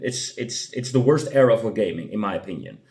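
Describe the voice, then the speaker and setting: Lively intonation marks this man's speech, delivered at a medium pitch. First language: not English. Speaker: gaming youtuber. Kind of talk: casual commentary. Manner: halting, many fillers.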